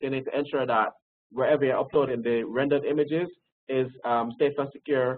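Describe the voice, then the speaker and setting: With a medium pitch, a man's voice moves along at a fairly quick pace. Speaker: records management expert presenter. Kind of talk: webinar presentation. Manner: fast; hesitant fillers.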